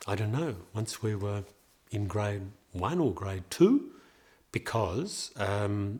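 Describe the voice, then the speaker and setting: A man with an Australian accent speaks very slowly at a fairly low pitch, somewhat breathy, on a very clean recording with a silent background. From Australia, Melbourne. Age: 70s. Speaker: interviewee telling his life story. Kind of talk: life story interview. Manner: hesitant, with many fillers.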